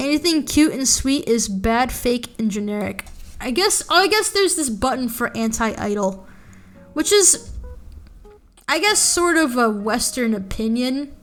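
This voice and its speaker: The pace is fairly slow, with very wide pitch swings. The tone is animated. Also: woman, high pitch for a woman. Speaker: VTuber streamer. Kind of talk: casual livestream commentary. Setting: live stream.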